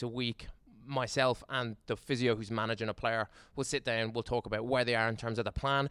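At a fairly quick pace, a man with an Irish accent speaks at a medium pitch with monotone, flat intonation, the sound dry and close with no echo in a very clean recording with a silent background. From Ireland. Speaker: strength and conditioning coach. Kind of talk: casual interview.

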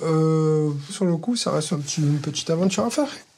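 Against noticeable background noise, a man with a fairly high pitch speaks with ordinary pitch variation. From Marseille, southern France. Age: 40s. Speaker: pizzeria owner, dating show participant. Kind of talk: casual chat, blind date. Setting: in total darkness, recorded date.

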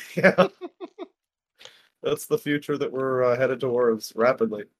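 A man with an ordinary speaking voice talks at a moderate pace and medium pitch with ordinary pitch variation, the sound dry and close with no echo. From Canada. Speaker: podcast co-host. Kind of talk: casual chat.

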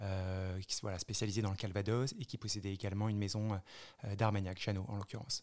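A man's fairly low, monotone voice at a very fast pace with flat intonation. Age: 30s. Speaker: spirits brand founder. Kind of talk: interview. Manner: halting.

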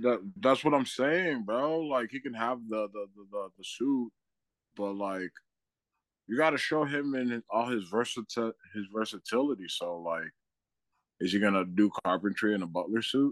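A man speaks at a moderate pace and a medium pitch in an unremarkable speaking voice. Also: lively intonation, dry, close sound with no echo. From Boston, Massachusetts. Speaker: comedian. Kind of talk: casual chat.

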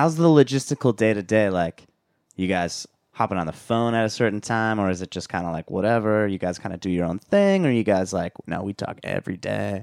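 A man with a Californian accent talks at a fairly quick pace in a fairly low voice. His pitch varies in an ordinary way, and the sound is dry and close with no echo. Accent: Californian American. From Southern California, Orange County. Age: 20s. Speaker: podcast host. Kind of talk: casual chat. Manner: animated.

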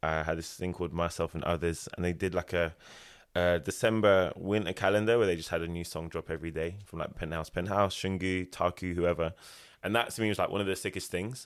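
A man with a very deep, low pitch speaks at a fairly quick pace with fairly even intonation, in a very clean recording with a silent background. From Ilford, Essex, England. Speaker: music events founder and promoter. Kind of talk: casual interview chat.

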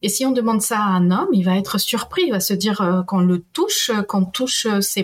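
This woman's voice is somewhat breathy and medium in pitch. She keeps a moderate tempo, and her pitch varies in an ordinary way. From Peru. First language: Spanish (speaking French). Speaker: historian and university professor. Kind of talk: interview.

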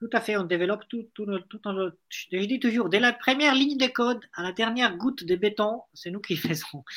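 His voice is high for a man. The pace is moderate, and his pitch varies in an ordinary way. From Italy. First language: Italian (speaking French). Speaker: startup founder. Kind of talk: interview.

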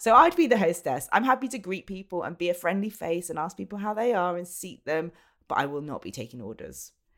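A woman with an English accent talks at a very fast pace and a fairly low pitch, with vocal fry. Her pitch swings very widely, and her loudness shifts a lot. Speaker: podcast co-host. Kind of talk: casual chat. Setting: remote call from home.

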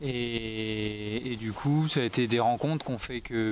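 Noticeable background noise is present throughout. Over it, a man talks at a medium pitch, his intonation fairly even. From France, southern Deux-Sèvres. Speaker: wildlife filmmaker. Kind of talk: long-form interview. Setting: at a table in his small farm. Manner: halting, many hesitations.

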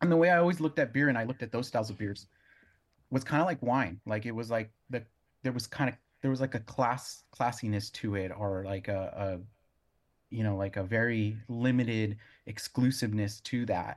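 A man speaks in an ordinary speaking voice with an American accent, medium pitch, ordinary pitch variation and a fairly quick pace against a quiet background. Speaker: brewer and brewery owner. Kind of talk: casual interview. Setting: video call.

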